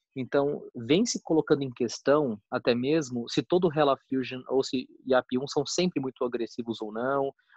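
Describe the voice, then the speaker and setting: A man with an unremarkable speaking voice and a fairly high pitch talks at a moderate pace with hardly any pauses, the sound dry with no echo against a quiet background. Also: ordinary pitch variation. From Mato Grosso, Brazil. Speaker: oncologist, session moderator; session moderator. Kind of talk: casual discussion. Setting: online video call. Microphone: video call.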